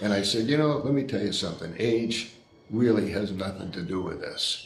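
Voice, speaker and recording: A fairly low-pitched man at a moderate pace, with ordinary pitch variation, audible room echo and noticeable background noise. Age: 80s+. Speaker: boxing veteran. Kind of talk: interview. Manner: halting.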